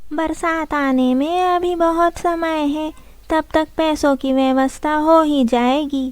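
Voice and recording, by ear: A cartoonish character voice speaks at a fairly slow pace with fairly even intonation. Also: woman, high pitch for a woman.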